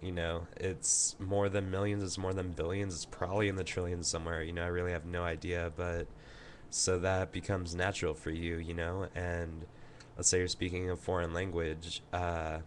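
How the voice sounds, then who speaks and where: A man's very deep, low pitch in a Californian accent, monotone and flat in intonation, at a moderate pace. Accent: Californian American English. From Southern California. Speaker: vlogger. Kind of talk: casual talk about accents to webcam. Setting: webcam recording. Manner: hesitant, many fillers.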